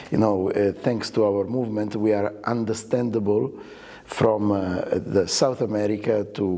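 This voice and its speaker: A man with an Italian accent, fairly low pitch and monotone, flat intonation, at a moderate pace amid noticeable background noise. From Italy. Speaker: orchestra conductor. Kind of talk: interview. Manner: halting, many fillers.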